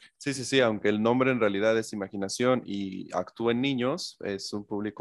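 With an unremarkable speaking voice, a man talks at a moderate pace in a fairly low pitch with ordinary pitch variation, the sound dry and close with no echo against a quiet background. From Mexico. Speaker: interviewer, film channel host. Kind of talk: interview.

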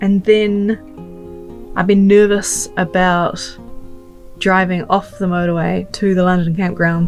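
A woman's voice over faint background music. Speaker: travel vlogger. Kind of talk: casual vlog chat. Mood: nervous, slightly anxious laughing. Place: car. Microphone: phone near.

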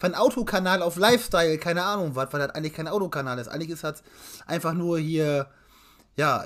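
Speaking at a very fast pace against a quiet background, a man uses a high pitch and lively intonation. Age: 20s. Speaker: car YouTuber and collector; car YouTuber. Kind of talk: casual chat. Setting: live stream. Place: home room. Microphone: webcam.

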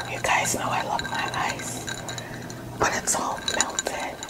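The voice is soft-spoken and whispering. It moves at a fairly slow pace. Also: woman. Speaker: mukbang vlogger. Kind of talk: casual vlog chat. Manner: soft whisper between sips of tea. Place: home room.

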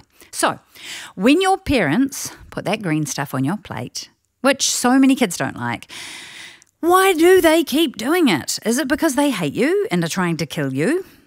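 This speaker has a New Zealand accent and a fairly slow pace with very wide pitch swings. The recording is very clean, with a silent background. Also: woman. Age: 40s. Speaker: family audio program presenter. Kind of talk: scripted narration. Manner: animated.

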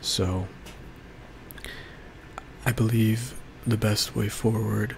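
Soft-spoken and at a very slow pace, a man talks over light background noise. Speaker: ASMR creator. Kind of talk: ASMR life update talk to camera. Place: home room. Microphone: studio mic.

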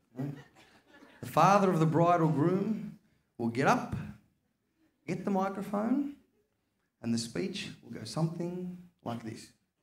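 Pitch swings very widely and loudness rises and falls sharply at a fairly slow pace, broken by long, frequent pauses. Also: man, high pitch for a man. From Australia. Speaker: stand-up comedian. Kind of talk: live stand-up comedy. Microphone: handheld.

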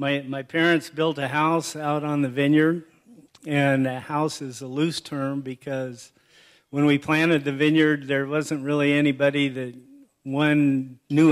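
A man talks at a fairly slow pace in a monotone, flat intonation. The background is quiet. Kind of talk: acceptance speech with anecdotes. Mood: warm, humorous. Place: hall. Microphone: podium.

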